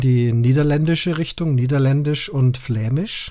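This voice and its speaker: On a very clean recording with a silent background, a man uses an ordinary speaking voice at a medium pitch, with ordinary pitch variation and a fairly slow pace. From Munich, Bavaria. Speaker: podcast host. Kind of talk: casual podcast chat.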